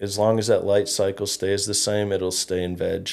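With an Upper Midwest accent, a man talks at a moderate pace in a fairly low pitch. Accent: Upper Midwest (Minnesota). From Minnesota, Fergus Falls. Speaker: cannabis grow shop owner. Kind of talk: casual interview.

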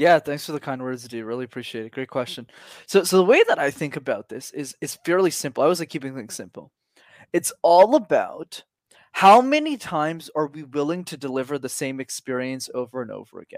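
A man with a Canadian accent talks at a fairly quick pace in a plain, everyday voice, pitched fairly high with ordinary pitch variation and big swings in loudness. The recording is very clean with a silent background and a dry, close sound free of echo. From Canada. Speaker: public speaking coach. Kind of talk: casual interview.

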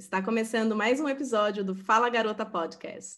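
A woman's fairly high voice, an unremarkable speaking voice, moves at a moderate pace with ordinary pitch variation. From Sorocaba, São Paulo state, Brazil. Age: 30s. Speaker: podcast host, bilingualism content creator. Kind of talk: casual chat.

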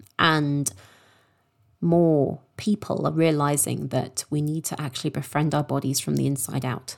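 A woman's very deep, low voice in a southern English accent, fairly slow with fairly even intonation, on a very clean recording with a silent background. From London, England. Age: 30s. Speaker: sex coach and podcast host. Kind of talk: personal storytelling monologue.

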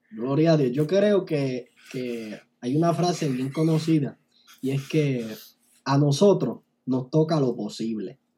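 This man has a fairly high pitch and a dark, mellow, somewhat breathy tone, with ordinary pitch variation. He talks at a very slow pace, leaving long, frequent pauses. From Puerto Rico, Barranquitas. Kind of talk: casual interview chat. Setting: online video call. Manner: animated.

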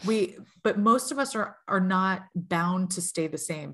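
Against a quiet background, a woman speaks in a normal speaking voice, fairly low in pitch with ordinary pitch variation. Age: 40s. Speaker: tarot reader. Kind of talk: casual chat.

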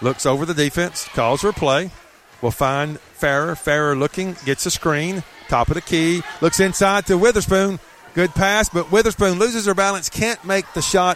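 Noticeable background noise sits behind a man whose high voice moves at a moderate pace. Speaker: play-by-play announcer. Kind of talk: live sports commentary, play-by-play. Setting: gym, at high school basketball tournament.

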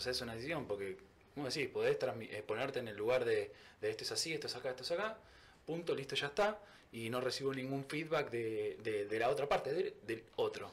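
A man with a Rioplatense accent at a fairly quick pace. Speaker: podcast host. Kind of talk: casual interview.

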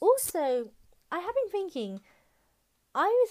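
A woman talks with a British accent. The recording is very clean, with a silent background. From UK. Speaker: podcast host. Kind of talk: casual monologue. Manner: hesitant, filler-heavy.

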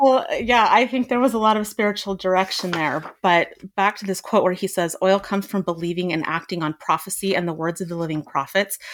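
With a plain, everyday voice, a woman speaks at a fairly quick pace with hardly any pauses and ordinary pitch variation. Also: medium pitch for a woman. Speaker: podcast panelist. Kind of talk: casual discussion.

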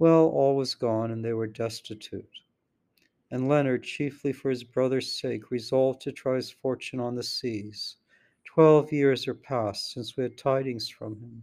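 Here is a man with an ordinary speaking voice at medium pitch. He talks at a fairly slow pace with fairly even intonation. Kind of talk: dramatic narration of poetry, reading aloud; reading aloud poetry. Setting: traveling, recorded on a laptop. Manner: formal, measured.

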